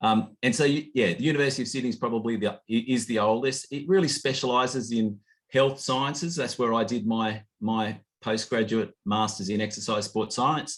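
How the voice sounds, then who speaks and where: With an Australian accent, a man speaks at a moderate pace and medium pitch, with ordinary pitch variation. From rural Australia. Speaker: study abroad program director. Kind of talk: information session presentation. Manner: halting, many false starts.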